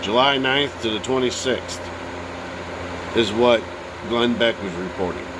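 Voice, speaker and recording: A man at a medium pitch speaks at a fairly slow pace amid noticeable background noise. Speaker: video blogger. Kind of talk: casual monologue.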